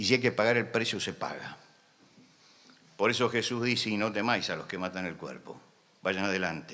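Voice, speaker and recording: Bright, sharp tone at a moderate pace, long and frequent pauses, ordinary pitch variation, audible room echo. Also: man, fairly low pitch for a man. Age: 70s. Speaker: preacher. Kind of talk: sermon. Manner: impassioned.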